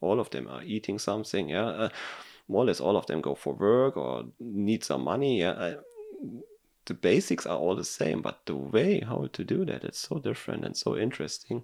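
In a German accent, a man speaks at a moderate pace with very wide pitch swings and vocal fry. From Germany. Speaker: engineer. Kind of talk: casual chat. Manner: halting.

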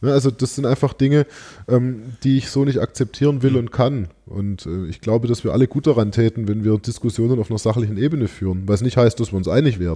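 A man talks at a very fast pace with medium pitch and a dark, mellow tone. The background is quiet. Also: ordinary pitch variation. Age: 30s. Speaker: politician. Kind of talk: interview. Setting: office.

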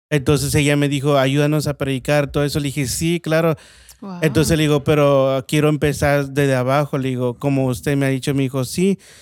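A man with a Veracruz accent talks at a fairly quick pace in a fairly high voice with fairly even intonation. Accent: Veracruz Mexican Spanish. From Mexico, Veracruz. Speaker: restaurant owner. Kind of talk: testimony.

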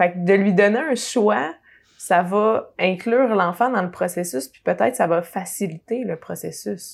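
Speaking in a Quebec accent, a woman uses lively intonation and big swings in loudness at a medium pitch and fairly slow pace. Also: very clean recording, silent background. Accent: Québécois French. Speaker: podcast host. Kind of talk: interview.

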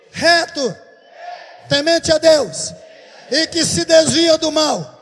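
A very slow pace against noticeable background noise. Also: man. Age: 60s. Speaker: pastor. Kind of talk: sermon. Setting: church.

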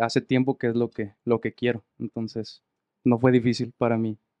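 The delivery is monotone, with flat intonation. The sound is dry and close, without echo. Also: man. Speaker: musician, harmony guitarist and singer. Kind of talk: casual chat. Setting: studio.

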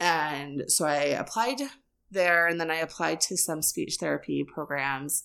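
A woman with a very deep, low pitch, a bright, sharp tone and vocal fry, a fairly slow pace and ordinary pitch variation, on a very clean recording with a silent background. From US, moved often (Texas, Washington). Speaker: church member. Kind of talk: casual interview.

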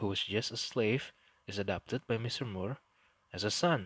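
A man's fairly low-pitched voice in an Indonesian accent, with a dry, close sound and no echo. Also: quiet background. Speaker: history podcast host. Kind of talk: storytelling narration.

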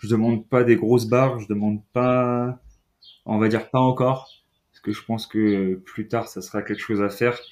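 Monotone and flat at a medium pitch, a man speaks at a moderate pace on a very clean recording with a silent background. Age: 20s. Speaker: CrossFit coach. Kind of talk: casual interview.

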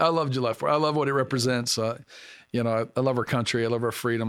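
In an American accent, the voice comes through on a very clean recording with a silent background. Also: man. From US South (Arkansas). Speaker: pastor. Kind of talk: casual chat. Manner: halting.

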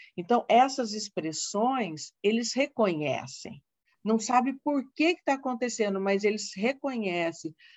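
The speaker has a plain, everyday voice. The pace is fairly slow, with lively intonation. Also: woman, fairly high pitch for a woman. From Brazil, Paraná (Londrina). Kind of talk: informative interview.

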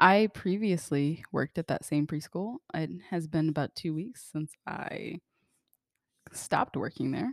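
A woman's fairly low-pitched, plain, everyday voice, with ordinary pitch variation and a fairly slow pace, in a dry, close sound with no echo and a very clean recording with a silent background. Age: 20s. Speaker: podcast co-host, musician. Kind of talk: casual chat.

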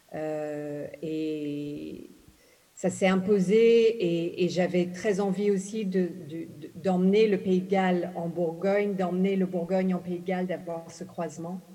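A woman speaks very slowly in an English accent, at medium pitch with fairly even intonation. Audible room echo surrounds her voice. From Ghana, English-speaking; moved to France at 11. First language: English (speaking French). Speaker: novelist. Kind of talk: literary panel talk. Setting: stage with audience.

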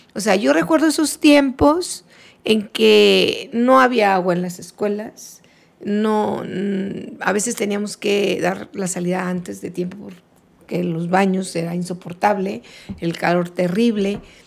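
Lively intonation carries the speech at a fairly slow pace against noticeable background noise. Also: woman, medium pitch for a woman. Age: 60s. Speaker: retired schoolteacher. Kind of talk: casual interview.

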